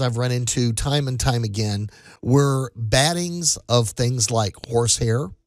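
With an unremarkable speaking voice, a man talks at medium pitch and a fairly slow pace on a very clean recording with a silent background. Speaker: radio host. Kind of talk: casual chat. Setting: studio.

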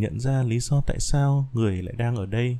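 A man speaks at a fairly slow pace. His tone is dark and mellow, at medium pitch. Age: 20s. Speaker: podcaster. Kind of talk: reading aloud.

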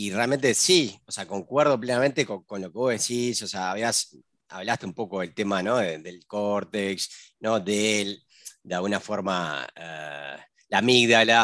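Heard on a very clean recording with a silent background, an ordinary speaking voice proceeds at a fairly slow pace with ordinary pitch variation. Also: man. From Uruguay. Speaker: podcast host. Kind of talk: casual interview.

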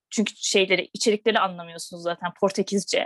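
A woman talks at a very fast pace. The sound is dry and close, with no echo and a quiet background. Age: 20s. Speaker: vegan platform co-founder. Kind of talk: casual interview.

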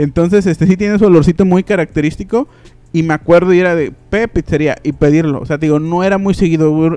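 A man's high-pitched voice, dark and mellow in tone, at a very fast pace with ordinary pitch variation. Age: 20s. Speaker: podcast host. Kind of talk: casual chat. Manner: animated.

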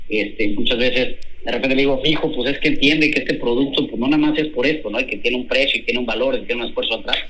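A man at a medium pitch and very fast pace, with fairly even intonation, noticeable background noise and audible room echo. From central Mexico (Hidalgo). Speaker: chef. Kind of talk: interview.

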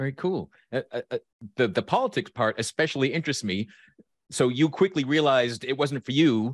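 A man's normal speaking voice, medium in pitch with ordinary variation, at a fairly quick pace in a very clean, silent recording with a dry, close sound and no echo. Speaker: podcast host and life coach. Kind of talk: casual interview chat.

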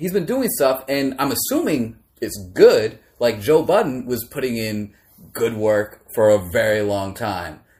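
A man with an American accent, medium in pitch and somewhat breathy, with very wide pitch swings at a moderate pace, in a very clean recording against a silent background. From Maryland, US. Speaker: podcast host. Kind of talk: casual chat.

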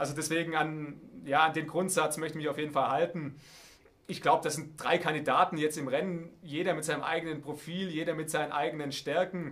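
A man speaks at a fairly high pitch in a monotone, flat voice. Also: fairly quick pace. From Baden-Württemberg, Heidenheim district (Swabia). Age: 30s. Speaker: politician, state parliament candidate. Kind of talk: interview. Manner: hesitant, with filler sounds.

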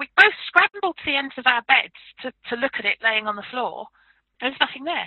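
A woman talks at a fairly quick pace in a southern English accent, her high voice making very wide pitch swings and big swings in loudness. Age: 50s. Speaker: paranormal researcher and author. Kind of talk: interview.

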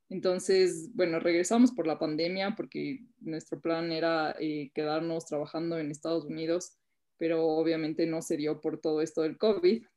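An unremarkable speaking voice with ordinary pitch variation proceeds at a moderate pace. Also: woman, fairly low pitch for a woman. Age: 20s. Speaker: entrepreneur. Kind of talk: interview.

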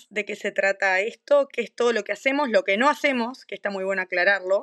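With a Uruguayan accent, a woman speaks at a fairly quick pace and fairly high pitch with ordinary pitch variation, in a dry, close sound with no echo. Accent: Rioplatense Spanish (Uruguayan). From Uruguay, Maldonado. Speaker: doula and lactation consultant, podcast co-host. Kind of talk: casual chat.

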